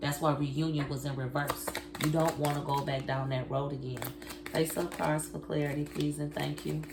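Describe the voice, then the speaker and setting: A woman speaks at a moderate pace. Audible room echo and noticeable background noise fill the recording. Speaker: tarot card reader. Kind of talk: tarot reading. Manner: casual, conversational.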